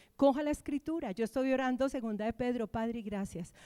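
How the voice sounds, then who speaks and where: Recorded very cleanly against a silent background, the voice moves at a fairly quick pace in an animated tone, with ordinary pitch variation and a dry, close sound with no echo. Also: woman. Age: 60s. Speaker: pastor. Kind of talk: sermon.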